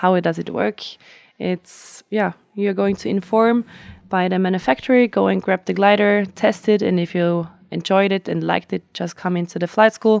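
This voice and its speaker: A woman speaks with a German accent at a moderate pace, her medium-pitched voice fairly even in intonation, recorded very cleanly with a silent background and a dry, close sound with no echo. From Austria, Tyrol. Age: 20s. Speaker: flight instructor and event organizer. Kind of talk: interview. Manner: hesitant, with fillers.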